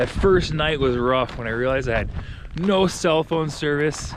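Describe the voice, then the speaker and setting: A man talks at a moderate speed against a noticeable amount of background noise. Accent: American. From Minnesota, Rochester. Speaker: real estate agent. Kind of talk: casual vlog. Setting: outdoors. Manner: loud; halting.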